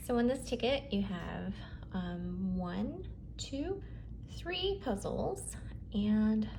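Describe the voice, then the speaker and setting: A woman speaks softly. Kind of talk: lottery scratch-off commentary. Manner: soft-spoken.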